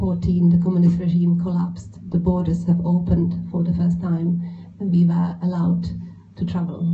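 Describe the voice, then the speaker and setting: A woman talks at a moderate pace. Room echo is audible around her voice. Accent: Czech. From Czech Republic. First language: Czech. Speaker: illustrator. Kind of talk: panel talk at book event. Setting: bookshop event with audience. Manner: halting.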